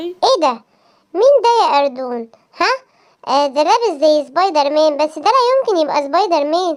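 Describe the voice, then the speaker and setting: Speaking at a moderate pace, a female-sounding cartoonish character voice hits an extremely high pitch. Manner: skeptical.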